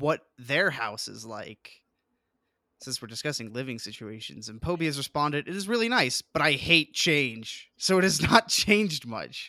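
A man with an American accent speaks at a fairly slow pace with lively intonation and a bright, sharp tone. The sound is dry and close with no echo, on a very clean recording with a silent background. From Colorado. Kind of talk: casual chat.

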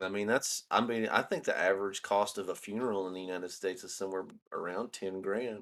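A man with a Southern US accent, fairly low-pitched and flat in a monotone, talking very fast on a very clean recording with a silent background. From US South, northeast Alabama. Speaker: podcast co-host. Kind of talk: casual chat.

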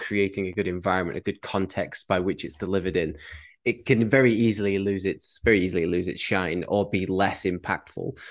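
A man with a British accent, fairly low-pitched, fairly quick, and fairly even in intonation. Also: quiet background. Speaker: podcast co-host and coach. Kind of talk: casual podcast conversation.

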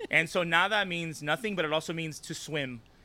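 A high-pitched man's voice, bright and sharp in tone, with an American accent. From Los Angeles, US. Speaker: activist and organizer. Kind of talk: casual interview conversation.

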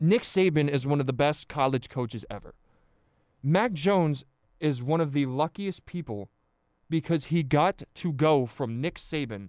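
Fairly slow, lively speech from a man with an American accent at a fairly high pitch, in a very clean recording with a silent background. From central New Jersey. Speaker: college radio host. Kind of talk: sports debate monologue. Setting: radio studio. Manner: repeats words, halting.

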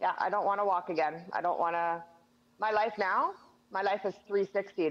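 At a fairly slow pace, a woman with a Western Canadian accent speaks at a medium pitch. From Northern British Columbia, Canada. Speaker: quadriplegic wheelchair user, former oil field worker. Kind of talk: casual interview.

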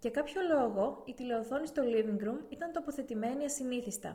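A woman speaks in a high pitch at a moderate pace. Her intonation is lively. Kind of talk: audiobook reading aloud of a novel, steady literary narration. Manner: even, measured, narrator-like delivery with little change in tone.

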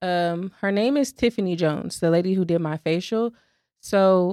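In a very clean recording with a silent background and a dry, close sound with no echo, a woman with an unremarkable speaking voice talks at a medium pitch and a moderate pace. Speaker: podcast co-host and small business owner. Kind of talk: casual chat.

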